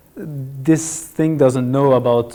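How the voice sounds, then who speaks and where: Speaking at a very slow pace, a man has a dark, mellow tone, with audible echo from the room. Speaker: data science lecturer. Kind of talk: lecture. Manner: halting.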